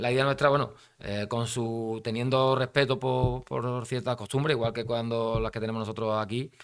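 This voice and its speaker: At a moderate pace, a man speaks with fairly even intonation. The background is quiet. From Spain, Cádiz; Spain. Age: 50s. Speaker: national football team coach; football coach guest. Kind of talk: interview. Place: studio. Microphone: studio mic.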